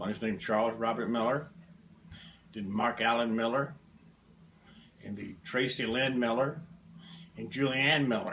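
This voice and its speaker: With a Southern US accent, a man speaks at a moderate pace and medium pitch, using ordinary pitch variation and long, frequent pauses. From US South, Alabama. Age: 70s. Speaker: interviewee, family elder. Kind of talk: family history interview. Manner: terse, plain-spoken.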